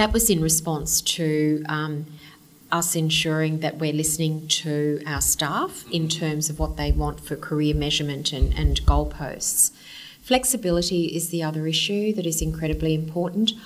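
Over noticeable background noise, a woman speaks with an Australian accent at a moderate pace. Her pitch is very deep and low, with ordinary variation. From Queensland, Australia (Kingaroy, then Brisbane). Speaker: senior lawyer and law firm managing partner. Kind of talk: interview. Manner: energetic, enthusiastic.

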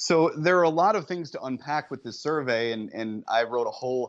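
A man speaks in an unremarkable speaking voice with ordinary pitch variation. The background is quiet. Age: 30s. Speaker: TV reporter and author. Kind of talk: interview.

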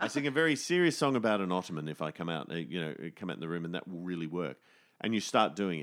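Speaking at a very fast pace with lively intonation, a man with an Australian accent has a very deep, low pitch. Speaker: musician and theatre writer. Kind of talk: casual chat.

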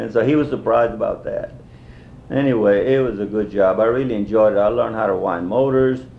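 The pitch varies in an ordinary way and the pace is very fast. Room echo can be heard. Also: man, medium pitch for a man. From Texas (Lockhart), Mexican-American. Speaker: war veteran. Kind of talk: oral history interview. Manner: halting, many fillers.

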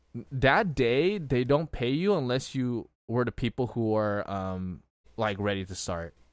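An unremarkable speaking voice from a man, medium in pitch, fairly slow, with lively intonation. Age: 20s. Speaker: podcast co-host. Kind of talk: casual chat. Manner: frequent fillers and laughter.

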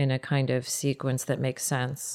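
In an American accent, a woman with a very deep, low pitch speaks at a moderate pace on a very clean recording with a silent background. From United States. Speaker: poet. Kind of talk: interview. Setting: studio.

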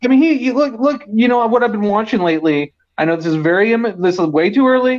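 Intonation runs lively as a man with an American accent talks. His pace is fairly quick. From East Bay, California. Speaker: caller. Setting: phone call.

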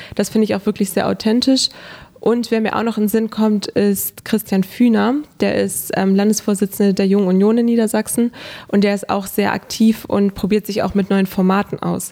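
Her tone is dark and mellow, with monotone, flat intonation. The woman speaks at a moderate pace. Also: medium pitch for a woman, very even loudness. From northern Germany, Hannover. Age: 20s. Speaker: social media blogger and local politician. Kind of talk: interview. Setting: studio.

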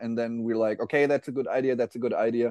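The background is quiet. A man talks at a medium pitch. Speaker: metal guitarist. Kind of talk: casual interview. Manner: hesitant, fillers.

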